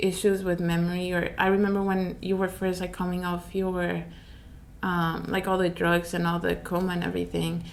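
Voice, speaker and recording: The speaker has a non-native accent and a monotone, flat intonation. The pace is moderate, with audible room echo. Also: woman, fairly low pitch for a woman. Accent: foreign. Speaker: family member of survivor. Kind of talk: testimony.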